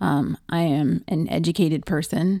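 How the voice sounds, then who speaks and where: A woman with a fairly low pitch, ordinary pitch variation, vocal fry and a dark, mellow tone is heard in a very clean recording with a silent background and a dry, close sound with no echo. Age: 40s. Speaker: podcast host and nurse. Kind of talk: personal testimony. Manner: halting.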